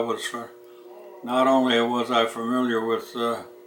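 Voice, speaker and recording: Someone speaks at a moderate pace with noticeable background noise. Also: man. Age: 90s. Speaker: war veteran. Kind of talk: casual chat. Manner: halting.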